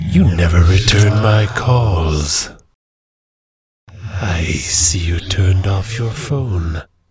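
A man's cartoonish character voice, very deep and low in pitch, at a very slow pace

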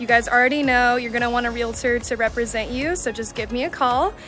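A woman speaks at a high pitch and a fairly quick pace. Clear music plays behind her, and the sound is dry with no echo. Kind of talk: casual vlog chat. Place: street. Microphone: phone near.

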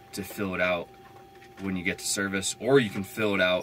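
A man talks at a moderate pace in a fairly low pitch. His intonation is monotone and flat, with light background noise. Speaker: van dweller vlogger. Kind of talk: casual vlog chat. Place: home room. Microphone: camera far.

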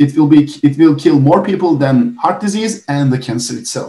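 A somewhat breathy man's voice, fairly high in pitch, with a dark, mellow tone. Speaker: biomedical science teacher and researcher. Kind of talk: webinar presentation. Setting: video call. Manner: fast talker.

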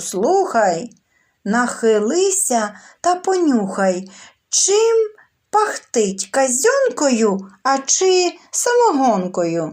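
A woman's put-on character voice, high-pitched with very wide pitch swings, at a very slow pace and very even loudness, in a very clean recording with a silent background. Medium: read story. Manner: commanding.

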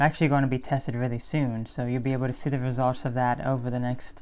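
Her voice sits very deep and low for a woman, with a dark, mellow tone, flat monotone delivery and a fairly quick pace. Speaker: vegan health vlogger. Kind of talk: casual video monologue answering viewer comments. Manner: chatty, repeats words and self-corrects. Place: home room. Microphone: phone near.

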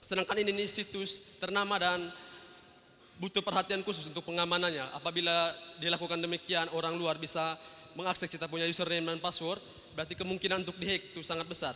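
A man talks at a very fast pace with a high pitch. His intonation is monotone and flat. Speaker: student. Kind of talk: audience question. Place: hall. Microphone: handheld.

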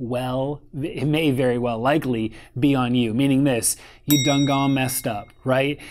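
Here a man speaks in a monotone, flat intonation. His pace is moderate. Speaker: photography business coach. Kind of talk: casual advice talk to camera. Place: home room.

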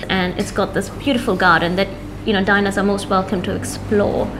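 Music plays in the background as someone talks with fairly even intonation. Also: woman, fairly quick pace. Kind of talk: interview answer. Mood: warm, proud. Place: cafe. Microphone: lapel.

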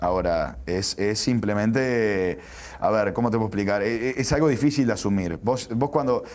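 In an unremarkable speaking voice, a man talks at a moderate pace with a fairly low pitch and ordinary pitch variation. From Uruguay. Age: 30s. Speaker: sports journalist; sports journalist guest. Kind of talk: interview. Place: studio. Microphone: lapel.

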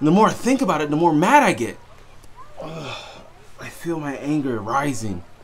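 Light background noise sits behind a man's voice. He moves at a moderate pace with very wide pitch swings. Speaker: storyteller. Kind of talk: dramatic monologue to camera. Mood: growing anger, frustrated.

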